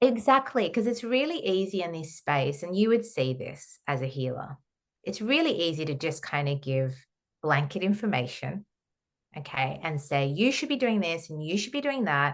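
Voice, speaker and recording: An Australian accent carries very wide swings in pitch. The background stays quiet. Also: woman, fairly low pitch for a woman, moderate pace. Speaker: holistic counsellor and trauma therapist. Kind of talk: podcast interview.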